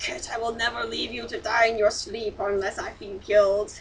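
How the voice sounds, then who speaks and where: A woman puts on a character voice, fairly high in pitch. She keeps a moderate pace over clear background noise. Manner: reassuring; tender.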